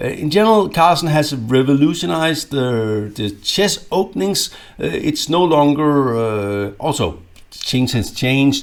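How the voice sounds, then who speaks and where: A man's fairly high voice with a Danish accent, very wide pitch swings and a fairly slow pace. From Denmark. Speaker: chess grandmaster and coach. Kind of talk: instructional video. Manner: halting, many fillers and repetitions.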